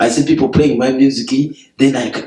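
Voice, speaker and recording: A man's somewhat breathy voice, dark and mellow in tone, moves at a moderate pace with lively intonation at a medium pitch. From Uganda. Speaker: music teacher and composer. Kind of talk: interview. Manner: halting.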